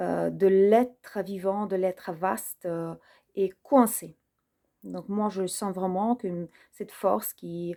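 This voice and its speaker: Speaking at a very slow pace, a woman has a medium pitch and a dark, mellow tone with fairly even intonation. The recording is very clean, with a silent background. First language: not French (speaking French). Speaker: personal development video creator. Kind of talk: personal reflective monologue. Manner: hesitant, many fillers.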